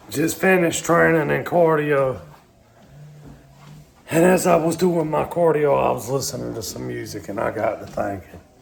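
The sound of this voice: A raspy, put-on character voice from a man, fairly high in pitch, at a moderate pace with long, frequent pauses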